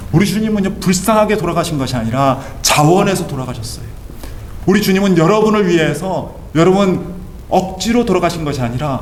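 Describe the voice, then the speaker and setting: Noticeable background noise and audible room echo surround the recording. A man speaks fairly quickly at a high pitch for a man. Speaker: pastor. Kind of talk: sermon. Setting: church. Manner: emphatic.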